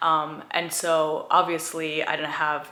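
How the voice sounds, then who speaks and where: A woman speaks with an American accent and a very deep, low pitch. Her intonation is monotone and flat, and there is audible room echo. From India, then small-town US from age seven. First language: Gujarati. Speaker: lifestyle YouTuber. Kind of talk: personal vlog storytelling. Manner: casual, many fillers like um and like.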